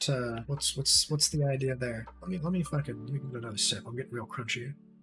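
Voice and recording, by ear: A passage read aloud in a natural voice, pitch shifting in an ordinary way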